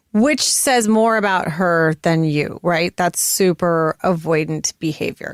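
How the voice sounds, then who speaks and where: An unremarkable speaking voice from a woman with an American accent, fairly low in pitch, dry and close with no echo. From United States. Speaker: podcast co-host. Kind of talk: casual chat.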